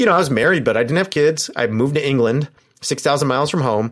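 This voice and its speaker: On a very clean recording with a silent background, a man with an American accent speaks very fast at medium pitch, his intonation lively. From Southern California, Orange County. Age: 40s. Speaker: professor. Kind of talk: casual chat.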